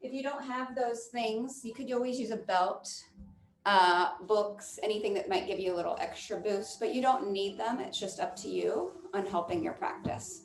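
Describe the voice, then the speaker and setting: Amid audible room echo, a woman with a fairly high pitch and vocal fry speaks at a moderate pace with lively intonation. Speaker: yoga instructor. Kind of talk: guided yoga class with meditation. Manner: loud.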